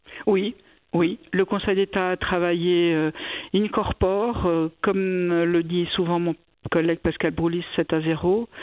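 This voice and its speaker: Speaking at a very slow pace, a woman keeps a fairly low pitch and very even loudness. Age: 60s. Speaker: cantonal government minister. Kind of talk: radio interview.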